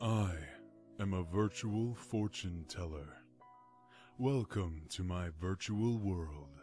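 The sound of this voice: Over clear background music, a man puts on a character voice with a very deep, low pitch, speaking very slowly with long, frequent pauses.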